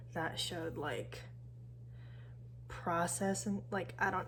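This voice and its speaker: Quiet and mumbling, a woman speaks over noticeable background noise. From San Francisco Bay Area. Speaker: university student. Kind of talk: casual talk to camera. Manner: mumbling, quiet.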